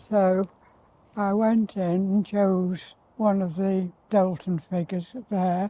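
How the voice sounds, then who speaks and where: In a Potteries accent, a woman talks very slowly at medium pitch with fairly even intonation and a dark, mellow tone. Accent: Potteries (North Staffordshire) English. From Tunstall, Stoke-on-Trent, England. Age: 80s+. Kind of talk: reminiscing interview answer.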